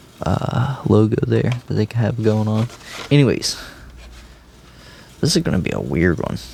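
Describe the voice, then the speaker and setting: The speaker has an American accent and lively intonation. Noticeable background noise runs underneath. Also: man, fairly low pitch for a man, moderate pace. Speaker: diecast toy collector and reviewer. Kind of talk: casual unboxing review. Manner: casual, with many fillers.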